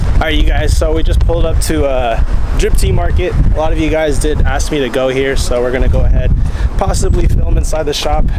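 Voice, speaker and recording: A man talks at a fairly quick pace over loud background noise, the sound dry with no echo. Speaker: vlogger. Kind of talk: casual vlog chat. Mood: relaxed, upbeat. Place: street. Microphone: phone near.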